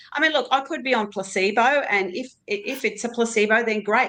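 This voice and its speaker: A woman with an Australian accent talks at a very fast pace. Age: 60s. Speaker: GLP-1 medication user on a panel. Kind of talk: casual panel chat.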